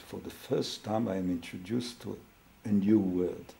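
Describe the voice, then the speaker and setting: A man speaks at a moderate pace with fairly even intonation. His fairly low voice has a dark, mellow tone. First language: Hebrew or other non-English. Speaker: family therapist. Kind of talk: interview. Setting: therapy room. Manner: halting.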